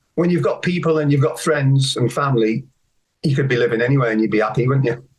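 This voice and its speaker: This somewhat breathy voice shows ordinary pitch variation. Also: man. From northwest England, Ellesmere Port near Liverpool. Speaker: photographer and storyteller. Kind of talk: podcast interview.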